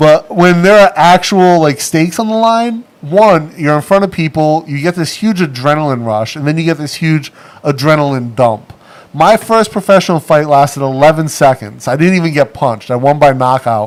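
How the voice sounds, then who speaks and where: A man with a New England accent speaks in an animated tone at a moderate pace. His pitch is fairly high, with lively intonation. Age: 40s. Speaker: livestream host and former pro boxer. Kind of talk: casual chat. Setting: studio livestream.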